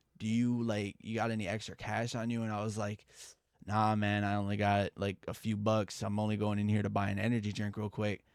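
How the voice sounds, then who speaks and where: In a very clean recording with a silent background, a man talks at a moderate pace with a fairly low pitch. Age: 20s. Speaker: storytime youtuber. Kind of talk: storytelling. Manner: casual, halting.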